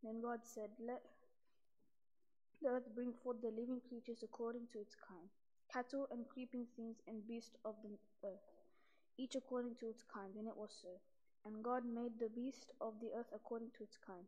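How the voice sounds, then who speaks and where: A woman's monotone, flat delivery at a moderate pace, broken by long, frequent pauses. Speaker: scripture reader. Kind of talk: liturgical scripture reading. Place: church. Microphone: podium.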